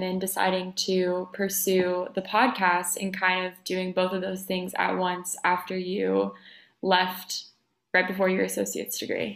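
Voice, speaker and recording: A woman's ordinary speaking voice at medium pitch, fairly slow in pace, on a very clean recording with a silent background. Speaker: podcast host and college dancer. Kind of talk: casual interview chat.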